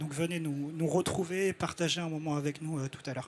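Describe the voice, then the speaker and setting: A fairly high-pitched man speaks at a moderate pace in a monotone, flat intonation. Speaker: network coordinator presenting at a trade summit. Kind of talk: live presentation to an audience. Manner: halting, frequent hesitations.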